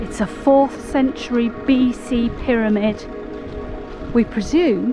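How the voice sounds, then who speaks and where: Clear music plays in the background of a dry recording with no echo. A woman speaks very slowly in a high pitch. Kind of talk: casual vlog chat. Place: open country. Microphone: phone near.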